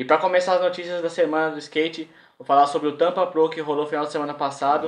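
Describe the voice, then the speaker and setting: Very fast and in a flat monotone, a man talks over light background noise. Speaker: skate vlogger. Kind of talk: casual vlog news chat. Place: home room.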